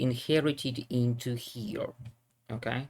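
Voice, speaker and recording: A man with a Russian accent, medium pitch and a somewhat breathy voice, at a fairly slow pace. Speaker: programming teacher. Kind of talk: tutorial. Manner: halting.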